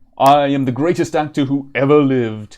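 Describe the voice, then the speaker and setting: Booming in a put-on character voice, a man speaks at a moderate pace with fairly high pitch and fairly even intonation against a quiet background. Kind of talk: stagey, theatrical. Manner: boastful, proclaiming, immodest.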